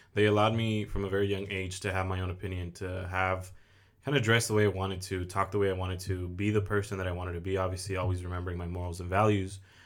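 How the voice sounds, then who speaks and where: A man with an American accent speaks at a very fast pace in a very deep, low voice. His intonation is monotone and flat, with audible room echo. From Oxnard, California. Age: 20s. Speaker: mortgage lender and content creator. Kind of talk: casual interview chat. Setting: studio, sitting across host.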